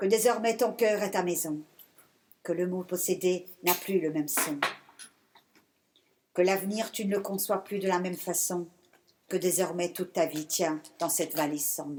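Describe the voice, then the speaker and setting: A woman talks at a fairly slow pace with long, frequent pauses. Her pitch is medium and her intonation fairly even. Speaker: poet. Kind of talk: poetry reading. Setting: stage with audience. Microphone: speaking without microphone.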